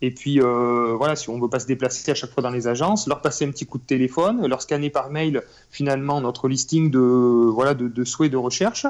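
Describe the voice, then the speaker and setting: A normal speaking voice from a man, medium in pitch, at a fairly quick pace with fairly even intonation. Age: 30s. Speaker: real estate investor. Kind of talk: interview.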